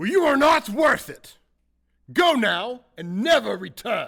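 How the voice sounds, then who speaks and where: In a very clean recording with a silent background, a man puts on a character voice at an extremely high pitch, swinging very widely in pitch at a fairly slow pace. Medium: stage play. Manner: grumbling, huffy.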